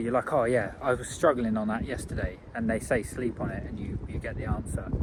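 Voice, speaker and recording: Speaking with an English accent, a man talks at a moderate pace. His pitch is medium. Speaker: vlogger. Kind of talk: video diary.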